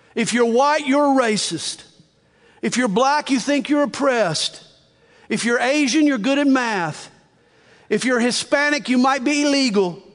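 Audible room echo surrounds a man's extremely high-pitched voice. His loudness stays very even, broken by long, frequent pauses. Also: ordinary pitch variation, moderate pace. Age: 60s. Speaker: pastor. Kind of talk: sermon.

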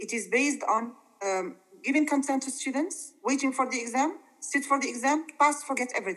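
High-pitched female speech, fairly quick, its pitch varying in an ordinary way. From Morocco. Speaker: English teacher. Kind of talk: interview. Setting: video call. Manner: halting.

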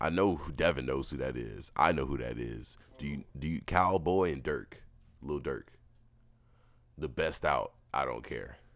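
With vocal fry and a very deep, low pitch that varies in an ordinary way, a man speaks at a fairly slow pace. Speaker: podcast co-host. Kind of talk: casual banter, comedic chat.

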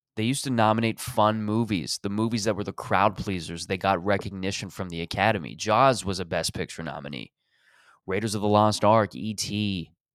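A man with a Canadian accent, fairly low in pitch, at a fairly quick pace with ordinary pitch variation, on a very clean recording with a silent background. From Canada, Toronto area. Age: 30s. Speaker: comedian. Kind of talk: casual solo monologue. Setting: recording alone at home late at night.

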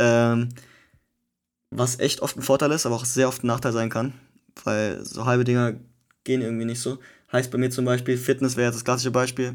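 Over a silent background in a very clean recording, a man with a medium pitch speaks in a flat monotone at a fairly quick pace, broken by long, frequent pauses. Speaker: podcast co-host. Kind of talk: casual chat.

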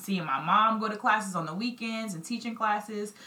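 A bright, sharp tone with an American accent, ordinary pitch variation, a moderate pace, and audible room echo. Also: woman, medium pitch for a woman.

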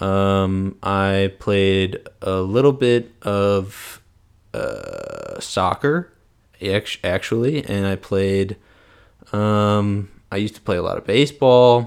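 This man has a plain, everyday voice with a fairly low pitch, ordinary pitch variation and an American accent. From US Midwest, St. Louis, Missouri. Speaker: medical student podcaster. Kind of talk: solo podcast monologue. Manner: casual, with frequent fillers.

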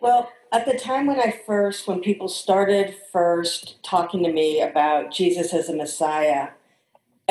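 With a normal speaking voice and an American accent, a woman talks at a fairly slow pace, her fairly low pitch carrying lively intonation. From St. Louis, Missouri, US Midwest. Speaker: interview guest. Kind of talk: casual interview.

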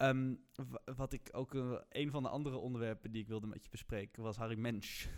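A man with an ordinary speaking voice at a medium pitch. He talks at a fairly quick pace with fairly even intonation. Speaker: student podcast host. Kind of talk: casual chat.

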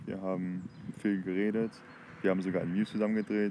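Fairly low male speech over noticeable background noise. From Germany, Heinsberg district (North Rhine-Westphalia). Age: 20s. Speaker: language-learning podcaster. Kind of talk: casual monologue. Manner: halting, self-correcting.

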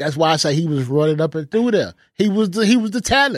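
A man with an American accent and an animated tone at a moderate pace, in a dry, close sound with no echo. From Houston, Texas. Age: 30s. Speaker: podcast co-host. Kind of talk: casual chat.

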